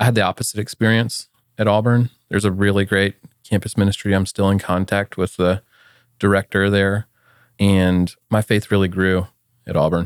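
A man with an American accent talks at a moderate pace in an ordinary speaking voice, fairly low in pitch with fairly even intonation. The recording is very clean, with a silent background and a dry, close sound with no echo. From US South, Atlanta, Georgia. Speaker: software company founder. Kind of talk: interview. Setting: studio.

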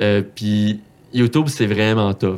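Fairly even intonation carries a man's fairly low voice. He speaks with a Quebec accent. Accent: Quebec French, Saguenay. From Quebec, Saguenay. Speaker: accountant and Excel content creator. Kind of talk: casual interview. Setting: studio.

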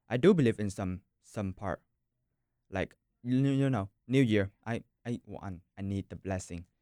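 A man with a Vietnamese accent talks at a moderate pace, leaving long, frequent pauses. His tone is dark and mellow, with ordinary pitch variation, in a dry, close sound with no echo. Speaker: university student. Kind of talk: casual discussion.

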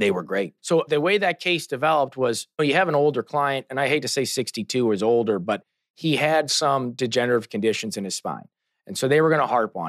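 A man with an American accent, an ordinary speaking voice and lively intonation, against a quiet background. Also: medium pitch for a man, fairly quick pace, dry, close sound with no echo. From St. Louis, Missouri. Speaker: trial lawyer. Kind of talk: casual interview.

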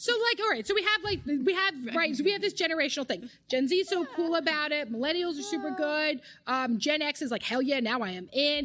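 In an East Coast American accent, a woman talks at a very fast pace in a high pitch, her bright, sharp, animated tone making very wide pitch swings with hardly any pauses. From US East Coast. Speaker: marriage, family and sex therapist. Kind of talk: casual interview.

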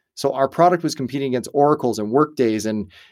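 A man speaks at a medium pitch with ordinary pitch variation in a plain, everyday voice. The recording is very clean with a silent background. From Canada. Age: 40s. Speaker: entrepreneur and company founder. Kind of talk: interview conversation. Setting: studio.

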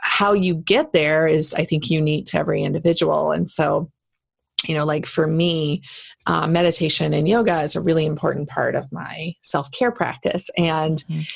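A woman's very deep, low voice with vocal fry, fairly even intonation and a moderate pace. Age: 30s. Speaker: leadership coach and speaker. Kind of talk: casual interview.

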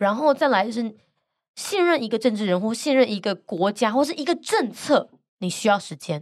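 The voice sounds animated, its pitch swinging very widely. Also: woman, fairly high pitch for a woman, moderate pace, very clean recording, silent background. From Taiwan, Gangshan (Kaohsiung). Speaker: international news podcaster and author. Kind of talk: interview. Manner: animated, laughs often.

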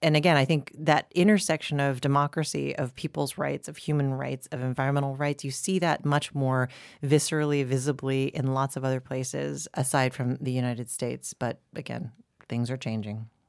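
At a fairly quick pace, a woman with an American accent speaks with a very deep, low pitch and ordinary pitch variation, the sound dry and close with no echo. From US, Boulder, Colorado. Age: 40s. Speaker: environmental group president. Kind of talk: interview.

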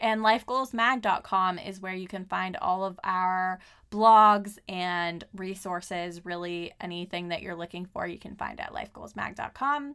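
A woman speaks in a Californian accent at medium pitch. Her tone is bright and sharp, with ordinary pitch variation. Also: very clean recording, silent background. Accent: Californian American English. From Southern California. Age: 30s. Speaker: podcast host and life coach. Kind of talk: casual solo monologue.

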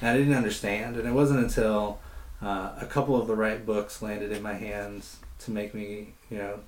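A man's fairly low voice with audible room echo. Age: young. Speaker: nonprofit director. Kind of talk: interview. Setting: on location interview.

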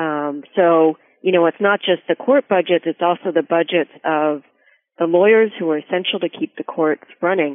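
Using an ordinary speaking voice, a woman talks at a fairly low pitch and a moderate pace with ordinary pitch variation. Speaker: legal aid advocate. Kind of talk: interview discussion.

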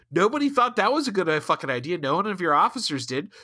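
A man's raised, projected voice at high pitch, with an American accent, a bright, sharp tone, very wide pitch swings and a very fast pace, on a very clean recording with a silent background. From US Midwest, Ohio. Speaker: podcast host. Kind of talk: casual chat.

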